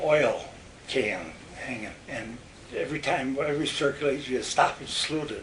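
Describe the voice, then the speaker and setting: In an American accent, a man talks at a moderate pace over noticeable background noise and audible room echo. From Western New York. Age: 90s. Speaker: war veteran. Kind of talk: oral history interview. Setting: nursing home. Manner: halting.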